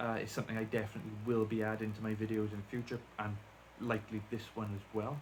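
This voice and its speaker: A man speaks at a very fast pace with a strong Welsh accent, his pitch fairly low. The delivery is monotone and flat, and somewhat breathy. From South Wales. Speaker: deafened YouTuber. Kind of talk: casual vlog talk to camera. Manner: rambling, hesitant with fillers.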